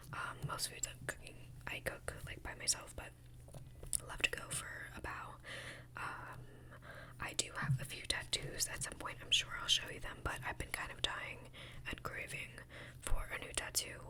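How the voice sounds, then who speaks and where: Whispering at a moderate pace, broken by long, frequent pauses, over noticeable background noise. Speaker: ASMR creator. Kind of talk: whisper ramble. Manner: whispered; high energy.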